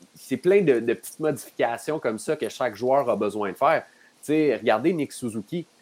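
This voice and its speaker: A man's normal speaking voice at a moderate pace with lively intonation. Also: medium pitch for a man. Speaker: hockey analyst. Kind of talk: casual chat.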